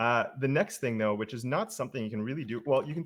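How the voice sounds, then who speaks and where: A man's medium-pitched voice with lively intonation, at a fairly quick pace over a quiet background. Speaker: web developer and educator. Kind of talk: live coding tutorial. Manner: fast.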